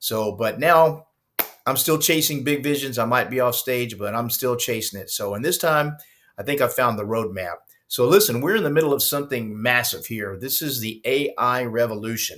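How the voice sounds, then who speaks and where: On a very clean recording with a silent background, a man with a normal speaking voice talks at a moderate pace and medium pitch, with ordinary pitch variation. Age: 60s. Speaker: retired rock musician turned online entrepreneur. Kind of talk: screen-share walkthrough vlog. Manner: casual, with many fillers.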